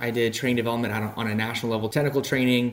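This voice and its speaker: Against noticeable background noise, a man talks in a medium pitch with monotone, flat intonation. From South Louisiana. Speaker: business development director. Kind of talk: interview.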